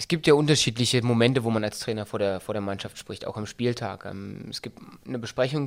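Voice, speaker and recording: The man's voice sits at a medium pitch, and he talks at a fairly quick pace. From Berlin-Brandenburg. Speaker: football coach. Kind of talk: interview. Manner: hesitant with many fillers.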